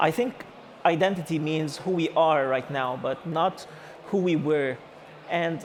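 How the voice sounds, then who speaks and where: Speaking in an Egyptian accent, a man uses a high pitch with ordinary pitch variation at a moderate pace. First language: Arabic. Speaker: architect and AI artist giving a talk. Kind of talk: conference talk. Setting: stage with audience. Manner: halting, many fillers.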